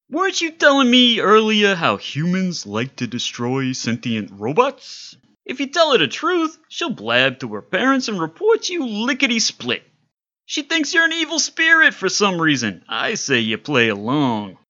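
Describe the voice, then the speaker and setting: Put-on character voice with a fairly high pitch at a moderate pace. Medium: audio drama. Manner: fast, breezy, wisecracking.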